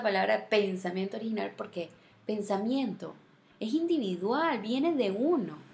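A woman speaks at a moderate pace in a medium pitch, her tone animated, her intonation lively and her voice somewhat breathy. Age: 30s. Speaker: podcast host. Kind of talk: solo monologue podcast.

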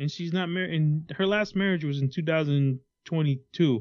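A man's unremarkable speaking voice at a moderate pace, pitched fairly high, its pitch varying in an ordinary way. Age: 30s. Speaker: podcast co-host. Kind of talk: casual chat.

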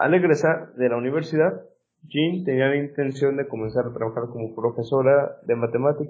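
A man with an unremarkable speaking voice talks at a moderate pace, with a fairly high pitch and ordinary pitch variation. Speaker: science podcast host. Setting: remote recording.

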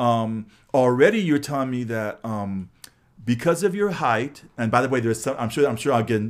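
A man with a Californian accent and an animated tone, at a fairly quick pace, on a very clean recording with a silent background. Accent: Californian American English. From Los Angeles. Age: 60s. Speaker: podcast host, former high school teacher. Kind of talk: casual interview chat. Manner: animated, repetitive false starts.

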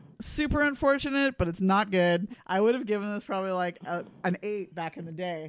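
Lively intonation marks a woman's normal speaking voice at medium pitch. She talks at a fairly quick pace with hardly any pauses. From British Columbia, Canada. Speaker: podcast co-host. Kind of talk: casual chat.

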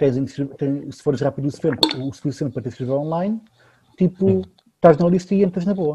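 A man with a fairly high pitch and a dark, mellow tone speaks somewhat breathily with lively intonation. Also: moderate pace. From Lisbon, Portugal. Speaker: podcast co-host. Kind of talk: casual chat.

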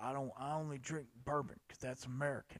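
A put-on character voice, fairly quick, in a monotone, flat intonation. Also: man, fairly high pitch for a man. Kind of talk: casual, jokey.

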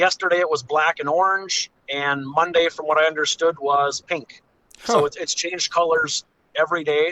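With an unremarkable speaking voice, a man talks at a moderate pace and a fairly high pitch, his intonation fairly even. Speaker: fishing guide. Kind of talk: casual interview. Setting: phone call.

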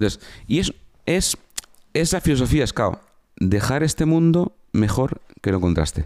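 With an animated tone and very wide pitch swings, a man of fairly high pitch talks with long, frequent pauses. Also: moderate pace. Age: 50s. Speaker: former soldier and entrepreneur. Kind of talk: casual interview.

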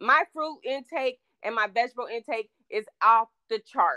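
A woman speaks in a raised, projected voice. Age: 50s. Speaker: podcast guest. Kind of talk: casual chat.

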